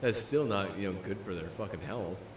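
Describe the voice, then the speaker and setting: The speaker has an animated tone and ordinary pitch variation at a fairly quick pace, with audible room echo and noticeable background noise. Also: man. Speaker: livestreamer. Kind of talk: casual livestream chat. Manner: halting, repetitive; casual, animated.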